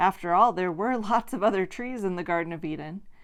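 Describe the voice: This is plain reading aloud. Pitch varies in an ordinary way.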